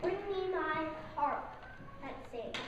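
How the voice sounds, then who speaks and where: A put-on character voice bellows out. Loud background noise and a clear echo fill the recording. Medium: stage play. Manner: roaring, commanding.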